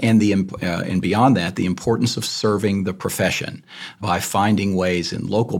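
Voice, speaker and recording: A man speaks in a fairly low voice with a Texan accent. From Texas, north Texas country. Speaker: lawyer, bar president candidate. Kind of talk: candidate forum.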